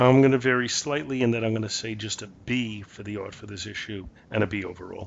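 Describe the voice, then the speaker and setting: A man talks very fast in a fairly low voice with ordinary pitch variation. His loudness swings widely. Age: 50s. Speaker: comic book podcast co-host. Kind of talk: casual chat.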